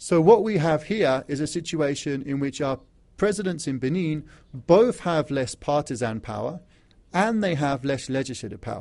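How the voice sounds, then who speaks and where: This man speaks with an English accent at a moderate pace, his fairly high pitch carrying a dark, mellow tone and lively intonation. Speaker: academic lecturer on African studies. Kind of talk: conference presentation. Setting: legislature hall with audience. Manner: formal.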